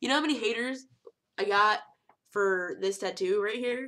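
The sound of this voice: A woman's voice at a moderate pace, fairly bright in tone. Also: medium pitch for a woman, ordinary pitch variation.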